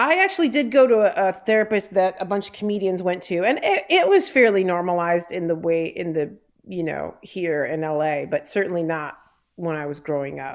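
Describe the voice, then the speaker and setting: A woman speaks with an American accent in an unremarkable speaking voice. Her pitch is medium and her intonation lively. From Detroit area (Downriver), Michigan. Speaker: comedian, performer. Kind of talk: casual chat.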